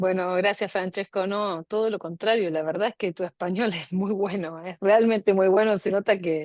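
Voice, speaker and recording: With an Argentine accent, the speaker keeps a moderate pace and fairly even intonation with hardly any pauses, the sound dry and close with no echo over a quiet background. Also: woman, medium pitch for a woman. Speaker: law professor, seminar moderator. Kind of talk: academic discussion.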